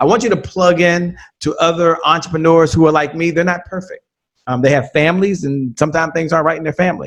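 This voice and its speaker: Speaking at a very fast pace, a man keeps his high pitch to fairly even intonation. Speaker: podcast host and sales trainer, interview guest. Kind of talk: podcast interview.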